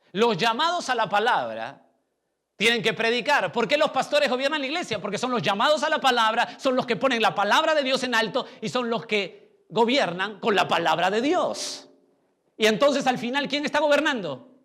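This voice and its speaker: A raised, projected voice with a bright, sharp tone and lively intonation. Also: man, extremely high pitch for a man, moderate pace. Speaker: pastor. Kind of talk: sermon.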